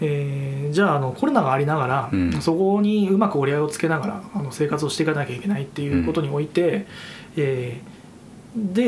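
Over noticeable background noise and audible room echo, a man talks at a very fast pace. His pitch is fairly high and his intonation lively. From Fukushima, Koriyama. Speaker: event organizer and shop owner. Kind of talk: casual interview.

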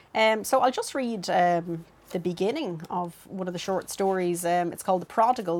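Delivered at a moderate speed, the speech shows ordinary pitch variation. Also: woman. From Dublin, Ireland (Clondalkin). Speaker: fiction writer. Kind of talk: casual chat.

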